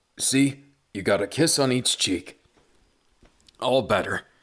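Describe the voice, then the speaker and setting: A man's raspy, put-on character voice at medium pitch and a fairly slow pace. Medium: read story. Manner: hesitant, stammering.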